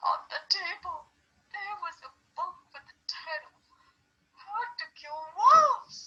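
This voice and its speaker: Using a put-on character voice at an extremely high pitch, the speaker goes at a fairly slow pace with long, frequent pauses. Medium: read story. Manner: insistent.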